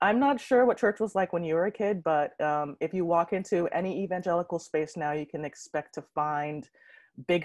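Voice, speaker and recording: Against a quiet background with a dry sound and no echo, a woman speaks at a moderate pace in a fairly low voice with lively intonation. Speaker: conference presenter. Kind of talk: conference talk. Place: home room. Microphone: earbuds.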